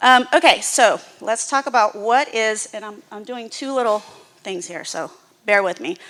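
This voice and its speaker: Loud and lively in intonation, a woman with an American accent speaks at a moderate pace in a fairly high, bright, sharp voice on a very clean recording with a silent background. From US South, Houston, Texas. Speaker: nonprofit executive. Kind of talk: presentation to church audience.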